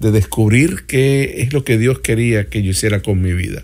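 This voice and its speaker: Medium pitch and ordinary variation in a man's voice. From Puerto Rico, then Miami from age 11. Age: 50s. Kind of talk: interview testimony. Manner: halting, many filler sounds.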